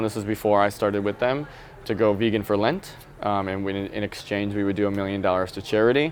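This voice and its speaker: A man's fairly low voice with an American accent, against noticeable background noise. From rural Wisconsin, US Midwest. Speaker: vegan nonprofit marketing director. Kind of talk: interview conversation. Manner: casual, filler-heavy.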